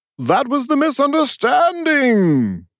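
A high-pitched, put-on character voice. It moves at a fairly slow pace. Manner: booming.

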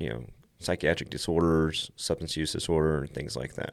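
A man with an American accent, very deep and low in pitch, at a moderate pace. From Texas, Lubbock area. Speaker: homeless ministry director. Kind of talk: casual interview.

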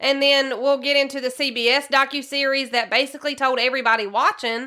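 In a Southern US accent, a woman talks at a fairly quick pace in a raised, projected voice that is high in pitch with a bright, sharp tone. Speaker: podcast host. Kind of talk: true crime podcast narration, casual.

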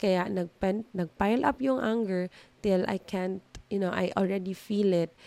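With a dark, mellow tone, a woman speaks at a medium pitch and a moderate pace, her pitch varying in an ordinary way. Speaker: podcast host. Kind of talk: solo self-help monologue. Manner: Taglish code-switching.

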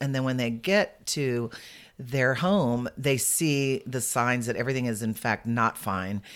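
Speaking slowly, fairly so, a woman with an American accent has a very deep, low pitch and ordinary pitch variation, in a very clean recording with a silent background. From San Antonio, Texas. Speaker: senior living placement advisor. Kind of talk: casual interview.

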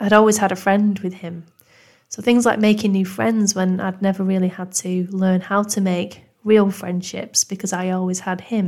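Speaking at a moderate pace with a Manchester accent, a woman holds a medium pitch and fairly even intonation. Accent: northern English (Manchester). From Manchester, northern England. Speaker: podcast host, mental health nurse. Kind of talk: scripted-style podcast introduction, personal story. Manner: warm, calm, supportive.

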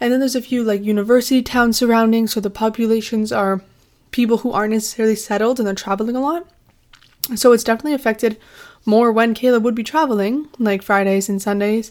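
Talking at a very fast pace in a Canadian accent, a woman keeps a fairly high pitch and fairly even intonation. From southern Ontario, Canada (Windsor area). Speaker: student podcast host. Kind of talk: casual monologue.

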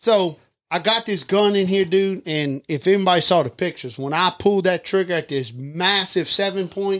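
A man with a South Louisiana accent, high-pitched, at a moderate pace with ordinary pitch variation. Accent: Southern US, south Louisiana. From Louisiana, Livingston Parish. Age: 40s. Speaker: hunter and father. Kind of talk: storytelling in casual chat.

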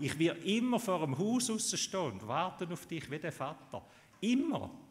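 A man's pitch swings very widely while he talks at a fairly slow pace. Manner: animated and heartfelt, emphatic with rhetorical build-ups, upbeat and encouraging.

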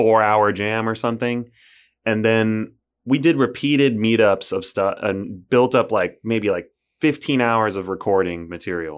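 At a moderate pace, a man with an unremarkable speaking voice and ordinary pitch variation talks over a quiet background. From United States. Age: 30s. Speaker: musician. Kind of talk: casual chat.

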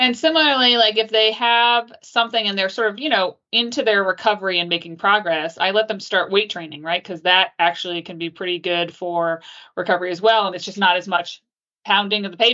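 A woman with an unremarkable speaking voice talks at a fairly quick pace and medium pitch. Her pitch varies in an ordinary way while her loudness swings widely. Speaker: orthopedic surgeon. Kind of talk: interview.

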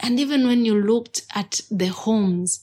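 A woman speaks at medium pitch in a somewhat breathy voice, recorded very cleanly against a silent background. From eastern Uganda. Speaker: storyteller. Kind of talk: storytelling performance. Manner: animated.

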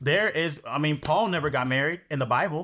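Lively intonation carries the speech at a moderate pace on a very clean recording with a silent background. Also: man. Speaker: prayer night co-host. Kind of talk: fervent group prayer. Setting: live video stream. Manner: emphatic, affirming, call-and-response.

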